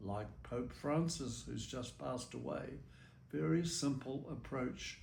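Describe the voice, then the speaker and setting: In a New Zealand accent, a man speaks at a very slow pace with vocal fry and very wide pitch swings, with audible room echo. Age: 90s. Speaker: religious brother. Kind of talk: interview testimony.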